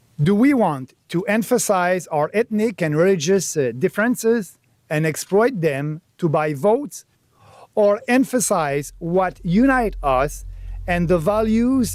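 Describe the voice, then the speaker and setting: At a fairly slow pace and very even loudness, a man speaks at a high pitch with a French-Canadian accent. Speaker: politician, party leader. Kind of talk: political speech.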